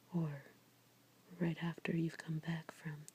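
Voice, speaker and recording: Soft-spoken delivery at a fairly slow pace. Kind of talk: ASMR tarot reading, soft-spoken. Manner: soft-spoken, relaxing.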